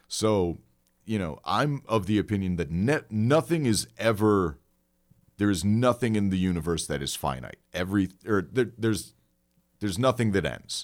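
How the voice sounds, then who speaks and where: An ordinary speaking voice with lively intonation at a moderate pace, in a very clean recording with a silent background. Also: man, fairly low pitch for a man. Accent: American. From Elmhurst, Illinois, Chicago suburbs. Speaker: comedian and podcast host. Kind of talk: storytelling in casual chat.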